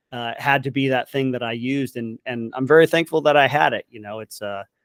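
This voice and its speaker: A man with a Californian accent talks at a fairly quick pace and medium pitch, recorded in a dry, close sound with no echo. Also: ordinary pitch variation. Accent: General American (Californian). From Southern California. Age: 40s. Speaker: military veteran and content creator. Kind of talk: interview conversation.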